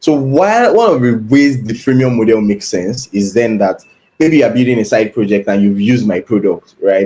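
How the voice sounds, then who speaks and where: Ordinary pitch variation in a dark, mellow tone. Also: man, medium pitch for a man. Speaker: product manager. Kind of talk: live problem-solving walkthrough. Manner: fast; thinking aloud, hesitant fillers.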